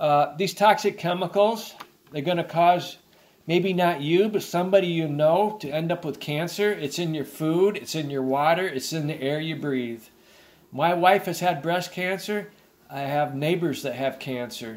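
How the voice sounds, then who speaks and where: The speaker is a man with a high voice. His pitch varies in an ordinary way. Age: 50s. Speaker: beekeeper. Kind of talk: vlog monologue. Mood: concerned, warning. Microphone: phone near.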